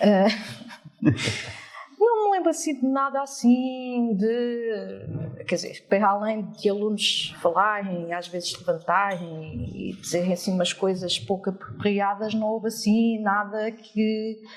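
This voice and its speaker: A very slow pace with ordinary pitch variation, in a European Portuguese accent, over noticeable background noise. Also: woman. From France until about 8, then Portugal. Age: 40s. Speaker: teacher. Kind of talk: interview. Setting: live audience.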